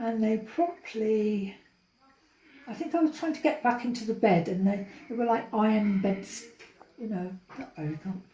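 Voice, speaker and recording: A woman's fairly high voice with lively intonation, a moderate pace and long, frequent pauses. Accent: London. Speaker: interviewee, older sister. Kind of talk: family oral history interview.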